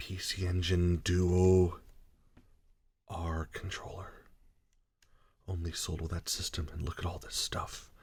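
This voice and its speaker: Soft-spoken and somewhat breathy, a man speaks in a very deep, low pitch with monotone, flat intonation at a fairly slow pace with long, frequent pauses, in a very clean recording with a silent background. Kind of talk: ASMR controller sound demo.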